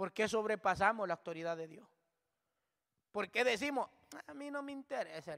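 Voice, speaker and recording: A man with a high, bright, sharp voice speaks fairly quickly, with long, frequent pauses and big swings in loudness. His pitch swings very widely, and the sound is dry and close with no echo. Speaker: preacher. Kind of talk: sermon, Bible study preaching. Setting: church.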